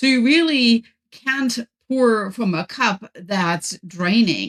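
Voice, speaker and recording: With a German accent, the somewhat breathy voice has lively intonation and a dry, close sound with no echo. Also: woman. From Germany. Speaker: professor and author. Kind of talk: podcast interview.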